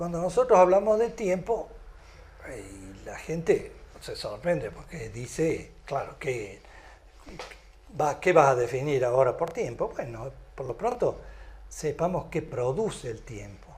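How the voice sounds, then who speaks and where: A man at a fairly slow pace, with long, frequent pauses, big swings in loudness and audible room echo. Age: 70s. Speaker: lecturer on cosmology theory. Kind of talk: lecture. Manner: halting, with many fillers.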